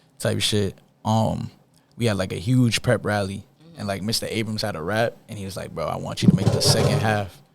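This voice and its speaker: With an American accent, a man talks at a fairly quick pace in a fairly low pitch and fairly even intonation, over noticeable background noise. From Boston, Roxbury. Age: young. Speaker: rapper. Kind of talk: casual interview.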